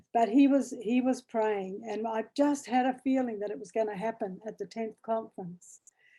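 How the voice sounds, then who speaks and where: Woman with a fairly high pitch and a dark, mellow tone, ordinary pitch variation, a moderate pace and hardly any pauses. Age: 70s. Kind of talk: interview answer.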